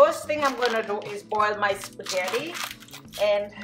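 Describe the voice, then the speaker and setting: Clear music sits in the background. Over it, a woman speaks with ordinary pitch variation. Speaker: home cook vlogger. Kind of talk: tutorial. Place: kitchen. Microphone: phone near.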